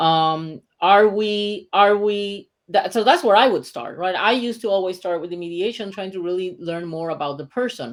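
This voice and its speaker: A woman speaks in a Puerto Rican accent at a moderate pace with hardly any pauses. Her pitch variation is ordinary, while her loudness swings widely. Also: medium pitch for a woman, very clean recording, silent background. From Puerto Rico. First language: Spanish. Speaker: mediator and author. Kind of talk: interview.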